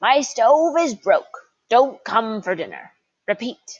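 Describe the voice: Putting on a character voice, a woman speaks at a fairly slow pace. Her pitch is high and her intonation lively.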